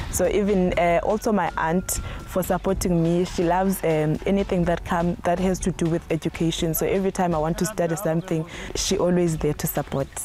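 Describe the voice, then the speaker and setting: Music plays in the background while a woman speaks at a fairly low pitch, with very even loudness and monotone, flat intonation. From South Africa, Eastern Cape (rural village). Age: 20s. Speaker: postgraduate plant pathology student. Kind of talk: interview testimony. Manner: somewhat halting, with fillers.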